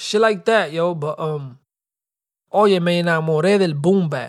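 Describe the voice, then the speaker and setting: On a very clean recording with a silent background, a man speaks at a high pitch and a fairly slow pace in an animated tone with ordinary pitch variation. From Dominican community in the Bronx, New York. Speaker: podcast host, rapper. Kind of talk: casual monologue. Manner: animated, heavy Spanish-English code-switching.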